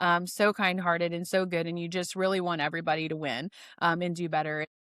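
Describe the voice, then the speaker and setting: A woman speaks at a very fast clip with an American accent. The recording is very clean, with a silent background. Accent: slight northern US accent, per others. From North Dakota, US. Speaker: podcast host. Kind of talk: interview podcast chat. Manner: animated.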